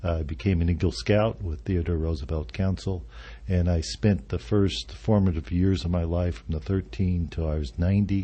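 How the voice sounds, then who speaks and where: A somewhat breathy voice with an American accent, very wide pitch swings and a moderate pace. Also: man, very deep, low pitch for a man. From Arizona. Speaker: senior living executive director. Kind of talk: radio interview. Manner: halting, many fillers.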